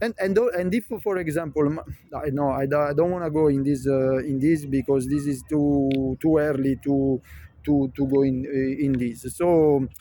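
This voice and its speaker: A fairly high-pitched man's voice with a Neapolitan accent, ordinary pitch variation and a moderate pace. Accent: Italian (Neapolitan) accent in English. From Naples area, southern Italy. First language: Neapolitan/Italian. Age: 50s. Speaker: vlogger. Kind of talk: casual monologue vlog. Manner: halting, many fillers.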